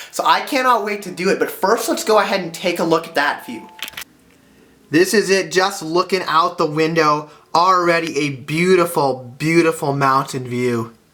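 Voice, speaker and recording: Over noticeable background noise, a man with a high pitch speaks in an enthusiastic tone with ordinary pitch variation. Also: moderate pace. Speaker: travel vlogger. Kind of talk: travel vlog narration.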